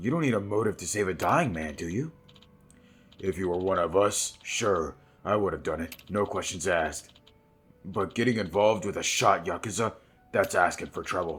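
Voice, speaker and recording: A man puts on a raspy character voice, fairly low in pitch, and speaks at a moderate pace. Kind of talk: reading game dialogue aloud. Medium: game stream.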